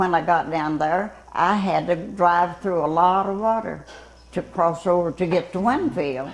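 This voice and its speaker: A woman with a Southern US accent, fairly low-pitched, with ordinary pitch variation and a fairly slow pace, over noticeable background noise. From Louisiana. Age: 80s+. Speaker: retired fire tower lookout. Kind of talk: interview answer.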